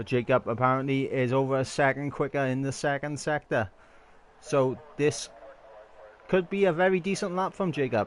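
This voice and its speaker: The man speaks in a Welsh accent at a moderate pace. His fairly high pitch shows ordinary variation. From Wales. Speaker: sim racing league commentator. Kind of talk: live commentary. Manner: animated.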